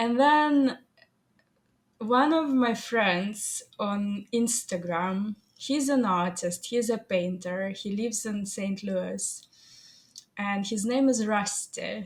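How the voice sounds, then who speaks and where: Very slowly and with a Russian accent, a woman speaks in a fairly high, somewhat breathy voice with ordinary pitch variation. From Soviet Union. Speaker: AI artist and photographer. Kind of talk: interview. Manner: halting.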